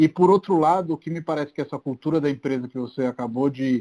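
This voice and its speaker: The voice has a dark, mellow tone and fairly even intonation, moving at a fairly quick pace in a dry, close sound with no echo. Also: man. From Brazil, outside São Paulo. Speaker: podcast host, real estate entrepreneur. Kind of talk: casual interview.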